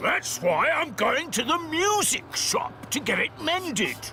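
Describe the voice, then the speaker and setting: A man performs a cartoonish character voice at a fairly slow pace. Background noise is clearly audible. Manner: hearty, jovial.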